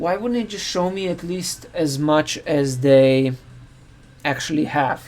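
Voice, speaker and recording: Noticeable background noise sits under a man's fairly high voice. He keeps a moderate pace and ordinary pitch variation. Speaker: software developer live-streaming coding. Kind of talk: live coding stream. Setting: live stream. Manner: halting, self-correcting.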